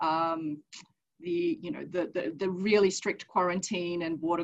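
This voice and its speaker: A woman with a normal speaking voice, fairly low in pitch, at a moderate pace. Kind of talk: webinar panel talk.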